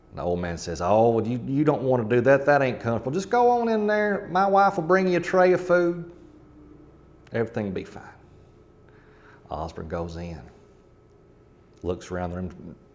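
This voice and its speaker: In an Appalachian accent, a man at a medium pitch speaks at a moderate pace, with very wide pitch swings, big swings in loudness, and long, frequent pauses. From rural Kentucky, Appalachia. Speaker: storyteller. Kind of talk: ghost story telling.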